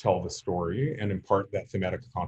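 A somewhat breathy man's voice, fairly low in pitch, with ordinary pitch variation at a moderate pace. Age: 50s. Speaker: lecturer on storytelling. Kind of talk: lecture. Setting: video call. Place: home room. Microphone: webcam.

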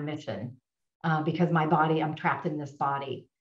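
A woman speaks at a moderate pace in a fairly low pitch with a monotone, flat intonation, and audible room echo surrounds her voice. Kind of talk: testimonial storytelling. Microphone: video call.

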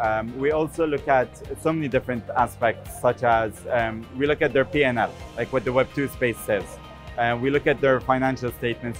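A man speaks at a moderate pace with fairly even intonation. Faint music plays in the background. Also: dry sound with no echo. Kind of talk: interview answer. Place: booth. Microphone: lapel.

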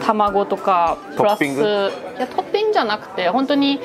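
With music playing in the background, a woman talks using lively intonation. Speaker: travel vlogger. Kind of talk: casual vlog chat. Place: cafe. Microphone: lapel.

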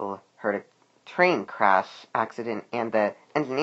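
Reading in a natural voice

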